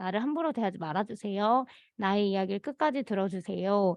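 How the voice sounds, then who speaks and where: A woman's plain, everyday voice at a medium pitch with lively intonation. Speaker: conflict mediation program facilitator. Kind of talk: work meeting presentation. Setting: meeting.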